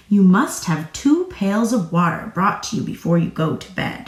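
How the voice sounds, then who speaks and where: A female-sounding voice speaks at a moderate pace and medium pitch. It is a put-on character voice. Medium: read story. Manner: cautious.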